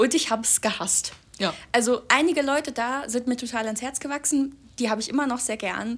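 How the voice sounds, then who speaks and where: Talking at a fairly quick pace, a woman uses a high pitch. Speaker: podcast co-host, student. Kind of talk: casual chat. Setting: home recording in a flat.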